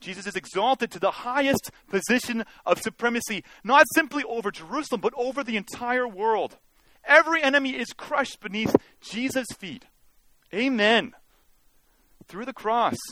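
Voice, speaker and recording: At a moderate pace broken by long, frequent pauses, a man raises and projects his extremely high-pitched voice, with ordinary pitch variation. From Canada, Mission, British Columbia. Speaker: guest preacher. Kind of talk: sermon. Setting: church.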